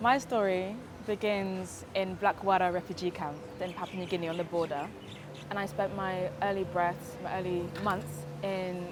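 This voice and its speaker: A woman talks at a fairly low pitch in a monotone with flat intonation. Her pace is fairly slow. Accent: British. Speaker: activist. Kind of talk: testimony. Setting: Hawaii.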